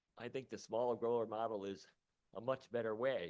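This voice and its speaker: A man speaks in a normal speaking voice. His pitch is fairly low and his pace moderate. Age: 60s. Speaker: radio host and cannabis patient testifying. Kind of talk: public hearing testimony.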